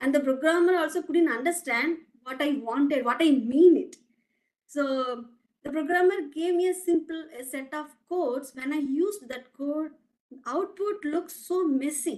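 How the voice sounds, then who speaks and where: A woman with a Tamil accent, high in pitch, at a moderate pace. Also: ordinary pitch variation. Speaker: academic researcher, guest speaker. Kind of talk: lecture. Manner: halting, frequent restarts.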